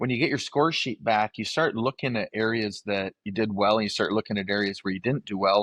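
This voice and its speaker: With an ordinary speaking voice and an American accent, a man talks fairly quickly at a fairly low pitch with fairly even intonation. The sound is dry and close, with no echo, and the background is quiet. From northern Michigan. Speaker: livestock auctioneer. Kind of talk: interview answer.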